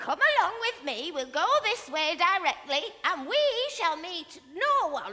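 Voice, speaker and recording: A female-sounding voice uses a put-on character voice at an extremely high pitch. Its pitch swings are very wide. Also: moderate pace. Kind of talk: fairy-tale stage acting. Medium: stage play. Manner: warm, cosy, motherly.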